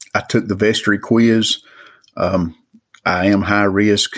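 A man with an Appalachian accent speaks at a fairly low pitch. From Western North Carolina mountains. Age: 50s. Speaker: caller. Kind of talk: recorded voicemail question.

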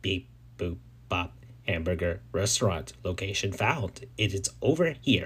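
A man does a robotic, put-on character voice with a very deep, low pitch at a moderate pace over clear background noise.

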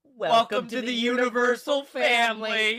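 A man does a put-on character voice at an extremely high pitch, with monotone, flat intonation and a moderate pace. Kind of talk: polished customer service tone.

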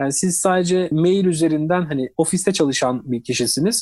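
Over a silent background in a very clean recording, a man talks at a fairly quick pace with a fairly high pitch, a dark, mellow tone and ordinary pitch variation. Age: 30s. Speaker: cybersecurity expert. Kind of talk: interview.

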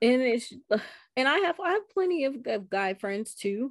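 A woman's high-pitched, animated voice against a quiet background. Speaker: podcast host. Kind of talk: casual chat. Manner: animated, laughs often.

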